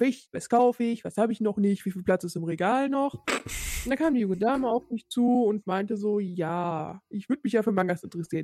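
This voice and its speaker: In a plain, everyday voice, a woman talks at a fairly quick pace with a fairly high pitch, the sound dry and close with no echo. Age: 30s. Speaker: podcast co-host. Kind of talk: casual chat.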